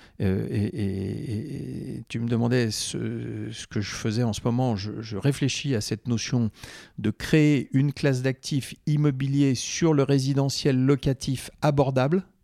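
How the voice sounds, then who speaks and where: A man talks very slowly in a dark, mellow tone with ordinary pitch variation. The sound is dry and close, with no echo. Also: medium pitch for a man, very clean recording, silent background. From France, Corrèze. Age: 60s. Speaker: former real estate network president. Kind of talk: interview conversation.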